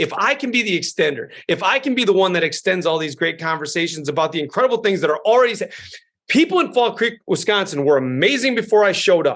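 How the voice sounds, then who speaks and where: A loud man's voice, high in pitch and animated in tone, at a very fast pace with very wide pitch swings. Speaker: school superintendent. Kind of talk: interview.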